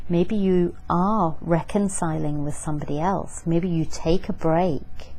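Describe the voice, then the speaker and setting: A woman speaks with audible room echo. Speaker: tarot reader. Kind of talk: tarot reading to camera. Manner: hesitant, with fillers.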